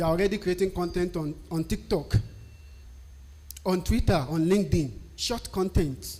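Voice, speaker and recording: A man with a Nigerian accent talks at a fairly quick pace in a high voice. His tone is dark and mellow, with ordinary pitch variation. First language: a Nigerian language. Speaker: technical writer. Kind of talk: tutorial.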